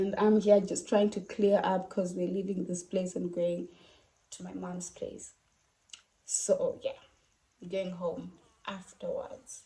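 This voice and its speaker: At a very slow pace, a woman speaks with long, frequent pauses. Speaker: vlogger and makeup artist. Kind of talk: casual vlog talk.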